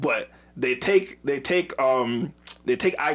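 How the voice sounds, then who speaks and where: The tone is animated. The intonation rises and falls in a lively way. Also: man. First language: not English. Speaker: YouTube show co-host, Star Wars reviewer. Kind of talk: casual chat.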